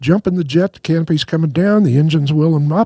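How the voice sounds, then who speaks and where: A man speaks with an American accent in a dark, mellow tone. His voice is somewhat breathy, with ordinary pitch variation and a dry, close sound with no echo. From Missouri. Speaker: retired fighter pilot. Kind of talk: storytelling interview. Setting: studio.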